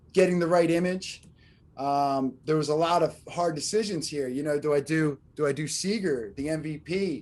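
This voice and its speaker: A man with a fairly high pitch at a moderate pace against a quiet background. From Philadelphia, US. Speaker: artist. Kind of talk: interview. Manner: halting, many fillers.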